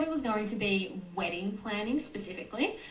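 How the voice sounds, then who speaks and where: Noticeable background noise and audible room echo fill the clip. A woman with an Australian accent speaks at a moderate pace and medium pitch, with lively intonation. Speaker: nutritionist. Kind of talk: podcast interview.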